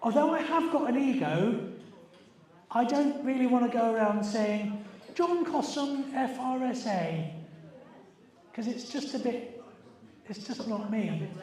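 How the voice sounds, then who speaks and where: There's noticeable background noise and audible room echo as a man with an extremely high pitch talks at a moderate pace with ordinary pitch variation. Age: 60s. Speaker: environmental campaigner. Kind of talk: party quiz hosting. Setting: party with audience. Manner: animated.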